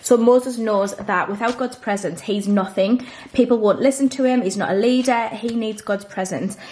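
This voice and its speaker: A woman's fairly high voice in a British accent, at a moderate pace with fairly even intonation. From UK. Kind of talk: Bible study vlog. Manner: casual. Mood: calm, earnest. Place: home room.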